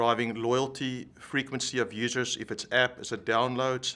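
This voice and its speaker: This man talks in a monotone with flat intonation, using a medium pitch and a bright, sharp tone, with a South African accent. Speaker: tech executive. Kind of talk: interview.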